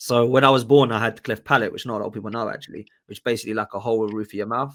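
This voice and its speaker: Talking at a very fast pace, a man keeps a flat, monotone intonation at a medium pitch. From Portsmouth, southern England. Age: 30s. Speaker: podcast host. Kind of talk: casual chat. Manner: informal, hesitant with fillers.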